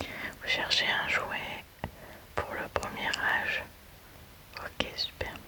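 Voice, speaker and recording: A woman whispers in a calm tone at a very slow pace. Noticeable background noise sits behind her. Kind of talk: ASMR roleplay as a toy shop saleswoman. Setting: studio, close-mic ASMR recording. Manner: soft, calm, slow, relaxing.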